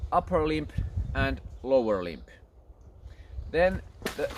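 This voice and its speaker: Someone speaks at a fairly slow pace with a Finnish accent. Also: man. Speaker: archery instructor. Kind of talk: tutorial. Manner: halting.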